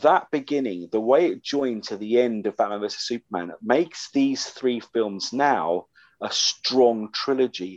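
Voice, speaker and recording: A man has an ordinary speaking voice at medium pitch with ordinary pitch variation. He speaks at a fairly slow pace, with a dry, close sound with no echo. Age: 50s. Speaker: podcast host, comics writer. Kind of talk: casual chat.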